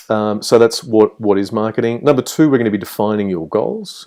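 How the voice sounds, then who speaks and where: Against a quiet background, a man with an Australian accent talks at a fairly quick pace, his fairly low voice dark and mellow in tone. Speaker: game developer and lecturer. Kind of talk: online course introduction. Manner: hesitant with many fillers.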